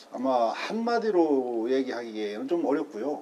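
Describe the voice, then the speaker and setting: Very wide pitch swings run through a man's fairly slow speech. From South Korea, Gunsan (North Jeolla). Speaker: local historian and citizen journalist. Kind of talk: interview.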